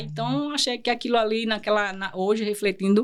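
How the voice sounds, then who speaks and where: Delivered at a moderate pace in an Alagoas accent, the speech comes through a very clean recording with a silent background. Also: woman. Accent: northeastern Brazilian Portuguese (Alagoas). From Brazil, Northeast (Pernambuco, raised in Alagoas). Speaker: lawyer and entrepreneur. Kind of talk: podcast interview, personal life story. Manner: gets loud and intense when speaking; halting, many restarts and fillers.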